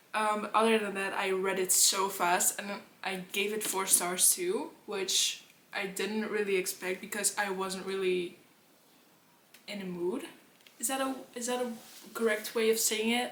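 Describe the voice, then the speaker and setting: With a Dutch accent, a woman at medium pitch speaks with fairly even intonation and long, frequent pauses, amid audible room echo and noticeable background noise. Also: fairly slow pace. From Netherlands. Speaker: book vlogger. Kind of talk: casual chat.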